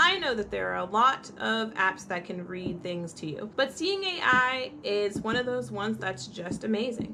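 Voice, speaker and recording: Over noticeable background noise, a woman speaks fairly slowly in an animated tone, her pitch swinging very widely. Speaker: blind lifestyle vlogger, mother. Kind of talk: casual tutorial vlog. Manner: animated, chatty.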